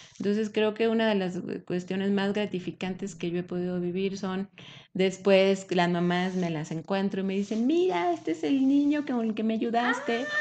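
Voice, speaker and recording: Against a quiet background, a woman with a normal speaking voice talks at a moderate pace, her medium pitch showing ordinary pitch variation. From Mexico, Aguascalientes. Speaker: breastfeeding support leader. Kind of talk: interview.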